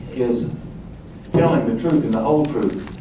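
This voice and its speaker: A man speaks at a fairly slow pace with lively intonation. Audible room echo and noticeable background noise surround him. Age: 60s. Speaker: mayoral candidate. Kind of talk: campaign speech at political forum.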